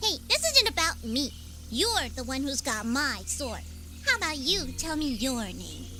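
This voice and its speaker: Put-on character voice over clear background noise. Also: moderate pace. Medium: video game. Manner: chatty, nervous.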